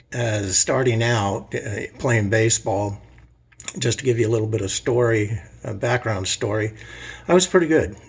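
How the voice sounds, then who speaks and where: Somewhat breathy, a man with an American accent talks at a moderate pace in a medium pitch with ordinary pitch variation. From Southern California (Los Angeles area). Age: 60s. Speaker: man telling his life story. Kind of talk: personal storytelling monologue. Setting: self-recorded video. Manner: casual, with many fillers and hesitations.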